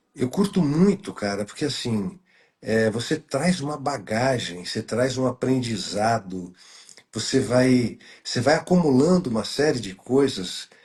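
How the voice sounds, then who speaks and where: A man talks at a fairly slow pace with a medium pitch, lively intonation and a somewhat breathy quality. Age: 60s. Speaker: journalist, good-news site creator. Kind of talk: casual chat. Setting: live stream video call. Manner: halting, many fillers.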